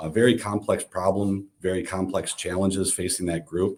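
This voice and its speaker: A man with an American accent speaks at a moderate pace in a very deep, low pitch. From Pennsylvania. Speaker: IT company executive and panel moderator. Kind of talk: webinar panel discussion. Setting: live online stream. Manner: hesitant, many filler words.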